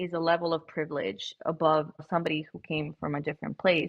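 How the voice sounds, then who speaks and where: Speaking in a Spanish accent, a woman with a fairly low pitch talks at a fairly quick pace in an animated tone. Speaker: podcast host. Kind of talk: casual interview chat. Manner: animated, filler-heavy.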